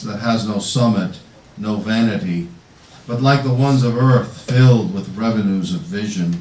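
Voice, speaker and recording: Noticeable background noise under a man's medium-pitched voice, moderately paced, with ordinary pitch variation. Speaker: poet. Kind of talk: poetry reading. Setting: bookstore reading, live audience.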